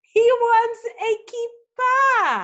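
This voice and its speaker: In a put-on character voice, a woman squeaks at an extremely high pitch with fairly even intonation. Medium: read story.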